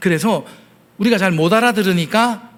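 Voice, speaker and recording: With ordinary pitch variation, a man speaks at a moderate pace as room echo is audible. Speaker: pastor. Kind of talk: sermon.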